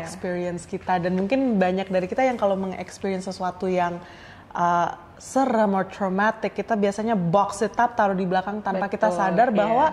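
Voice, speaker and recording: The clip has an ordinary speaking voice with ordinary pitch variation. The pace is fairly quick. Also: woman. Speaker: podcast host. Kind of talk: casual podcast conversation.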